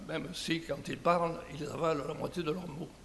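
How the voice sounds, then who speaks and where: A man's fairly high voice with a southern French accent, amid noticeable background noise and audible room echo. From southern France. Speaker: conference speaker. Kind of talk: conference talk. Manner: hesitant, with fillers.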